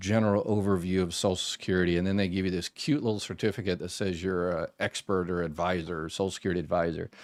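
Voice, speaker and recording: A man with an American accent, very deep and low in pitch, talking at a very fast pace with hardly any pauses and fairly even intonation, on a very clean recording with a silent background. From Florida. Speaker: former government benefits manager, advice channel host. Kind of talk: live stream Q&A. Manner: casual, conversational with many fillers.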